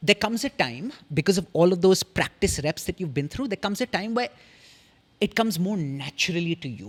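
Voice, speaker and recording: Animated and fairly quick, a man speaks with a high pitch and very wide pitch swings. The sound is dry and close, with no echo. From India. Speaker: communication coach. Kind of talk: podcast interview.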